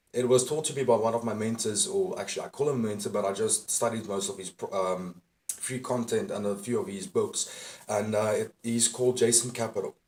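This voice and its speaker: Talking at a fairly quick pace, a man has a plain, everyday voice, a medium pitch, and ordinary pitch variation. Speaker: dating and self-improvement coach. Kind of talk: motivational talk to camera. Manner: casual, profane.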